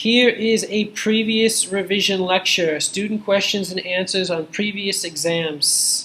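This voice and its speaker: A man's raised, projected voice, high in pitch, with fairly even intonation, hardly any pauses and noticeable background noise. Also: fairly slow pace. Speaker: university lecturer. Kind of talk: lecture. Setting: classroom with students. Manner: slow.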